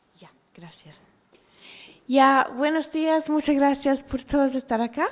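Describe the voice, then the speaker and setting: In a non-native accent, a woman with a high pitch and fairly even intonation speaks at a very slow pace. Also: big swings in loudness. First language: not Spanish (speaking Spanish). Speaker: environmental economist. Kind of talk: seminar presentation. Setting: seminar room with audience, streamed.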